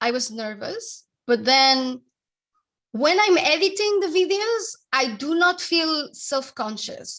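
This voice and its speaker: A woman with a strong Spanish accent speaks with very wide pitch swings. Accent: heavy Spanish. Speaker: author and branding consultant. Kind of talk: interview. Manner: animated, talks at length.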